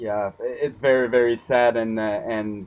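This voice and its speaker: A man with a French accent speaks at a medium pitch in a monotone, flat intonation. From Quebec. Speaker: interviewer. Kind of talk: interview. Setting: video call.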